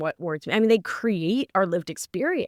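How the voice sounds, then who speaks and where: A woman with an animated tone and lively intonation speaks at a moderate pace, recorded very clean and dry, close up with no echo and a silent background. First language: Spanish. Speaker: nurse practitioner and author. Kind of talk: casual interview chat.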